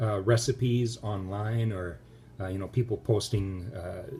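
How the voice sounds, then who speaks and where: Noticeable background noise can be heard. Over it, a man speaks at a moderate pace. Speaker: home cook video host. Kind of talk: casual cooking tutorial. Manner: hesitant, many fillers.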